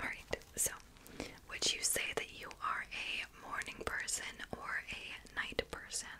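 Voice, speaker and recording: She whispers. Her delivery is very slow. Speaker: ASMR content creator. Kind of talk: ASMR personal-attention roleplay. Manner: whispered, soft. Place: home room.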